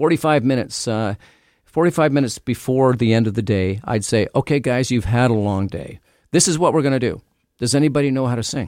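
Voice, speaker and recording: A man with a Canadian accent and an unremarkable speaking voice, medium-pitched, with ordinary pitch variation and a fairly quick pace, on a very clean recording with a silent background. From Canada. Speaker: retired police detective and author. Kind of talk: radio interview.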